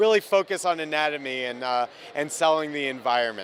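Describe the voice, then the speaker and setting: With a New Jersey accent, a man talks at a fairly quick pace and a fairly high pitch over noticeable background noise. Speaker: comic book artist. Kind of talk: interview. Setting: comic convention.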